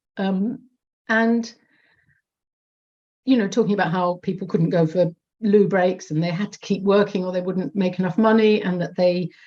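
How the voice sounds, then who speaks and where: At a moderate pace, a woman with a somewhat breathy, dark, mellow tone speaks at a medium pitch with fairly even intonation and long, frequent pauses. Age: 50s. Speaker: audience member at online report launch. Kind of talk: audience comment in Q&A. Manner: halting, many repetitions and fillers.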